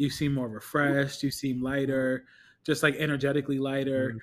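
Speaking at a fairly quick pace, a man with an unremarkable speaking voice and a fairly high pitch is heard on a very clean recording against a silent background. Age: 30s. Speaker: podcast co-host. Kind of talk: casual chat.

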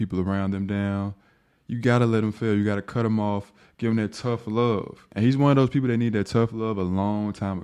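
Against a quiet background, a man has an unremarkable speaking voice at a fairly low pitch. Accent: American. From US South. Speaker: podcast host and pro basketball player. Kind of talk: solo podcast monologue. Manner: casual.

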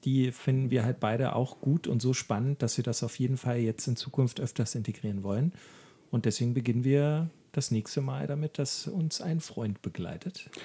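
A man's somewhat breathy voice at medium pitch, moderate in pace, with ordinary pitch variation. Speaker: podcast co-host, cancer patient. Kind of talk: casual chat. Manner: halting.

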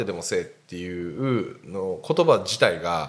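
A man speaking at a very slow pace. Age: 40s. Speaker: podcast host. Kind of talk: casual chat.

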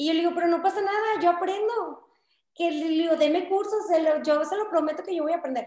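At a fairly quick pace, a woman speaks with an extremely high pitch. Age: 20s. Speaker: political candidate. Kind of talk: interview. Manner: talkative.

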